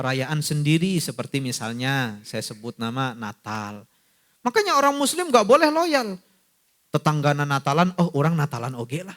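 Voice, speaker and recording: A non-native accent comes through at a moderate pace. The intonation is lively, with big swings in loudness. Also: man, fairly high pitch for a man. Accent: non-Sundanese accent when speaking Sundanese. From not from Sunda region. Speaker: Islamic preacher. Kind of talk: religious lecture. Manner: conversational, addresses audience directly.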